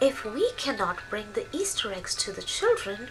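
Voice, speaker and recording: A woman's put-on character voice at a moderate pace, with clear background noise. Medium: read story. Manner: curious, cheerful.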